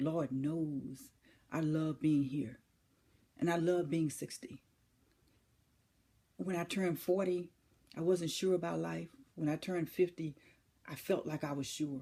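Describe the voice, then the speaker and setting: A woman's very deep, low voice, dark and mellow, at a fairly slow pace with long, frequent pauses and ordinary pitch variation. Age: 60s. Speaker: motivational speaker. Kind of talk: inspirational speech. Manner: emphatic, repetitive rhetorical questions.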